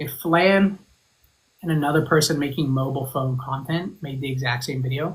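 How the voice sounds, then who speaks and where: Speaking at a moderate pace, a man with an American accent uses a calm tone, a fairly high pitch, fairly even intonation and a somewhat breathy voice. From Zimbabwe, then England, then Arizona. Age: 30s. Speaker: fragrance content creator. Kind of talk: podcast interview.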